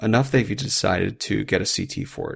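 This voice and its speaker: A man's voice with vocal fry, on a very clean recording with a silent background. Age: 30s. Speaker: emergency physician, military doctor, podcast host. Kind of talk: medical lecture podcast. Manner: clear, instructional.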